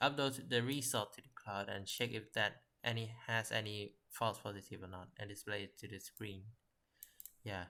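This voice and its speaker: In a non-native accent, a man speaks at a fairly low pitch with a bright, sharp tone and fairly even intonation. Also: moderate pace. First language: not English. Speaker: software developer. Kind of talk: tutorial. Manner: halting.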